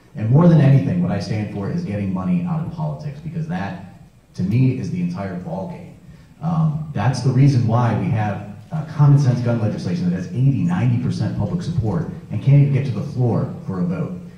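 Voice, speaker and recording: A man's medium-pitched voice at a fairly quick pace, with very wide pitch swings, audible room echo and noticeable background noise. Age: 30s. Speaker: political candidate. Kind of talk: campaign speech.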